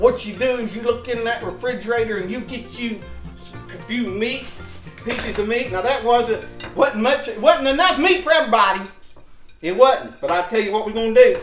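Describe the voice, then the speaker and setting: Over background music, a man with an extremely high pitch talks in an upbeat tone at a moderate pace, with ordinary pitch variation. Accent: Southern US. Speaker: home cook, cooking show host. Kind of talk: casual cooking demonstration to camera. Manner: folksy, joking, upbeat.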